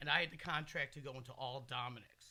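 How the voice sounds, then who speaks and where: Loud and very fast, the voice has a bright, sharp tone and an American accent. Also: man. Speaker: podcast host. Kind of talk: casual chat.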